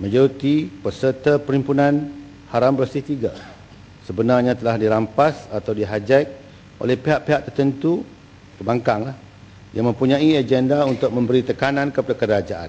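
A man speaks at a moderate pace with ordinary pitch variation and long, frequent pauses. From Malaysia. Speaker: government minister answering in parliament. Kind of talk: parliamentary answer, partly read statement; heated parliamentary debate. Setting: parliament chamber. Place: hall. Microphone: podium.

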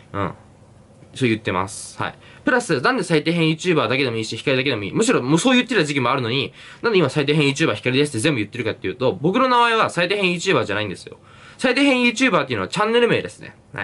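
Using vocal fry, a man rushes at a very fast pace with very wide pitch swings and big swings in loudness. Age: 20s. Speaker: YouTuber and university student; YouTuber. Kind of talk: solo Q&A vlog. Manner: casual, filler-heavy. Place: home room. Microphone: phone near.

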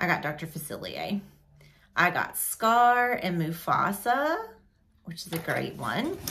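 With a bright, sharp tone and vocal fry, a woman speaks very slowly as her pitch swings very widely. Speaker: hobby vlogger. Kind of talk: casual vlog chat. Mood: excited, cheerful. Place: home room. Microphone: phone near.

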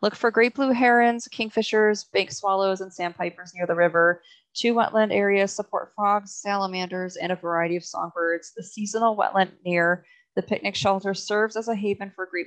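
The background stays quiet. A woman's speech moves at a fairly quick pace. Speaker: presenter. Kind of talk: presentation reading slide text.

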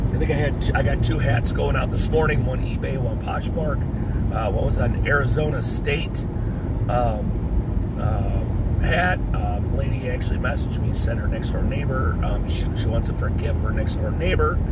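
Over loud background noise, a man speaks at a moderate pace with ordinary pitch variation, the sound dry with no echo. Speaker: part-time online reseller. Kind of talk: casual vlog chat. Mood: upbeat, pleased. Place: car. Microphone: phone near.

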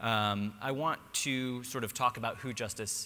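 A man's voice with ordinary pitch variation. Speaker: speaker, litigation attorney. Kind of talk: conference talk. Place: hall. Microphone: podium.

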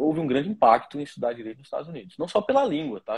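A man at a very fast pace. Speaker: lawyer. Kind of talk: interview.

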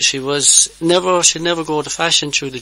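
The tone is bright and sharp. The intonation stays fairly even. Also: man.

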